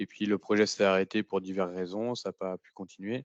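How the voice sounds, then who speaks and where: A man's very deep, low voice at a moderate pace, flat and monotone, in a dry, close sound with no echo. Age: 30s. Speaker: trainee in a tech retraining program. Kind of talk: podcast testimony. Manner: hesitant, many fillers.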